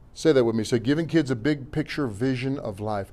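A man speaks at a fairly quick pace. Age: 50s. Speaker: pastor. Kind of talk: Sunday sermon preached to a responsive congregation, call-and-response exhortation. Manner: folksy, punchy conversational preaching with slangy asides and repeated refrains; emphatic, hammering repetition with stumbles and restarts.

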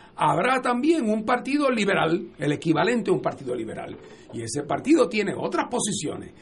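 A man's high voice with very wide pitch swings at a fairly quick pace, over noticeable background noise. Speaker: political commentator. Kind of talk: radio panel discussion.

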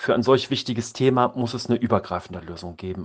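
A normal speaking voice moves at a fairly quick pace with ordinary pitch variation. The background is quiet. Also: man. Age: 50s. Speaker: volunteer mentor and author. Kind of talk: interview.

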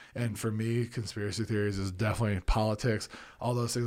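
A man talks in a normal speaking voice at medium pitch. His pace is fairly quick. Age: 40s. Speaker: former college football lineman and cannabis advocate. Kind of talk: casual interview chat. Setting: studio.

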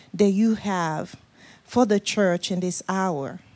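A woman with a Nigerian accent at a fairly slow pace. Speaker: guest preacher. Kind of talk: sermon. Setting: church.

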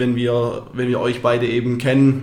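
A man's medium-pitched voice. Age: 20s. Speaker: barber and business owner. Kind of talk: interview.

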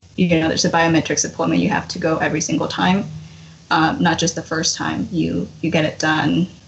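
Fairly brisk speech from a woman, with noticeable noise in the background. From Mexico, Hidalgo; raised in US from age six. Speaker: DACA recipient, podcast guest. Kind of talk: casual chat.

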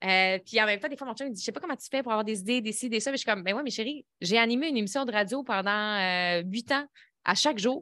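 On a very clean recording with a silent background, a woman talks at a very fast pace, her fairly high pitch showing ordinary variation and her tone bright and sharp. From Quebec, Lévis area. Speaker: business coach and former TV personality. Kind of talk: interview, life story.

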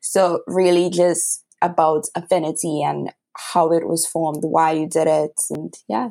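A dark, mellow voice in a Trinidadian accent, with vocal fry and monotone, flat intonation. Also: woman. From Trinidad and Tobago. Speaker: podcast host. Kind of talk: casual interview.

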